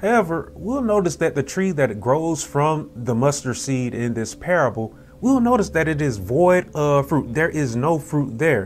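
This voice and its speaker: A man's fairly high-pitched voice with very wide pitch swings and hardly any pauses, over faint background music. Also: moderate pace. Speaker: preacher / minister. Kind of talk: Sunday school sermon lesson. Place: church. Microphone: lapel.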